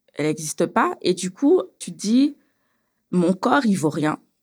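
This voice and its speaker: Very wide pitch swings in a woman's very slow delivery. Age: 30s. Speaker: beautician, abuse survivor. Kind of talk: testimony. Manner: casual, with hesitations.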